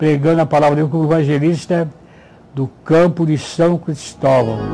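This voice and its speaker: Dark and mellow in tone, a man talks at a fairly slow pace with fairly even intonation. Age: 80s+. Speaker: retired pastor. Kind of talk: testimony.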